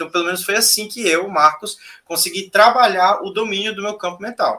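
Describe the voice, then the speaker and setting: In a raised, projected voice with a bright, sharp tone, a man speaks at high pitch and a moderate pace with ordinary pitch variation. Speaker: spiritual teacher. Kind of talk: casual chat. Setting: live stream.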